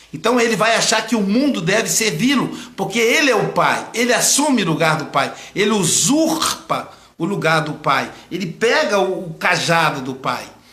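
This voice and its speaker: A man projects a raised voice at a high pitch, his pitch swinging very widely. Room echo is audible around him. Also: moderate pace. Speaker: psychoanalyst. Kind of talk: live stream lecture. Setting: online live broadcast.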